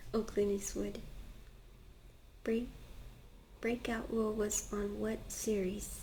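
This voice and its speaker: A woman speaks in a soft-spoken voice. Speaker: ASMR creator. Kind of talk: ASMR soft-spoken page turning reading.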